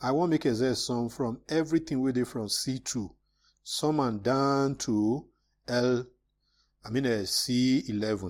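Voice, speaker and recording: With an unremarkable speaking voice, a man talks at a fairly slow pace and medium pitch with ordinary pitch variation, in a very clean recording with a silent background. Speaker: Excel tutor. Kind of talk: screen-recorded software tutorial. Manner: casual, conversational.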